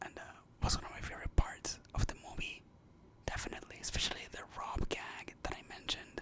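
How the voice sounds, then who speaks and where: Someone is whispering at a fairly quick pace. Noticeable background noise sits behind the voice. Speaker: ASMR content creator. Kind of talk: ASMR movie review, casual rambling talk to camera. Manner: casual, rambling, conversational.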